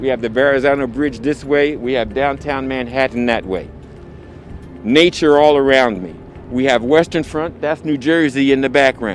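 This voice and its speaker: With noticeable background noise present, a man at medium pitch speaks at a moderate pace, his pitch varying in an ordinary way. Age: 60s. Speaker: photographer. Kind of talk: video interview. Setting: outdoors.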